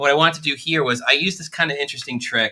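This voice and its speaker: There is ordinary pitch variation in this man's bright, sharp tone. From New York. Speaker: product specialist demonstrating synths. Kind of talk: live stream tutorial. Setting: studio. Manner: fast.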